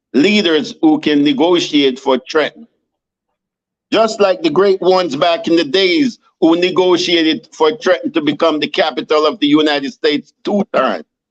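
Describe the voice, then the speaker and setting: Lively intonation in a Jamaican accent at a moderate pace, with very even loudness and a dry, close sound with no echo. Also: man, high pitch for a man. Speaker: city council candidate. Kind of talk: interview. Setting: video podcast. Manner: animated.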